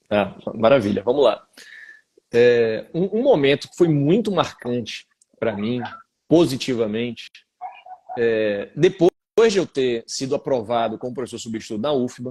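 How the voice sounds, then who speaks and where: A man's medium-pitched, dark, mellow voice at a fairly slow pace, with lively intonation, big swings in loudness and long, frequent pauses. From Bahia, Brazil. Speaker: law professor. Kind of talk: interview. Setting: live video stream.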